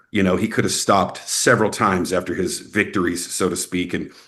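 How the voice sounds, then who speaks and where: A man with a Texas accent at a moderate pace. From Texas, Snyder. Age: 40s. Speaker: actor and filmmaker. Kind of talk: interview. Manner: casual, filler-heavy.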